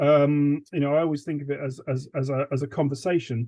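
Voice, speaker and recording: Intonation stays fairly even as a man talks at a moderate pace. His pitch is fairly high. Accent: American. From England, north London. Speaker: urban sketcher, guest speaker. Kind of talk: talk to a sketching group. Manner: halting, many repeated words and fillers.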